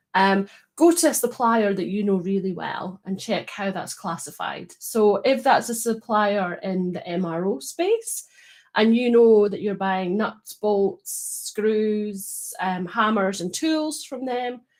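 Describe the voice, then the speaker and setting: A woman with a Scottish accent, medium-pitched, speaking at a very slow pace with lively intonation. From Scotland. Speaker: data quality consultant. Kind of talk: live stream panel discussion. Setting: online live stream.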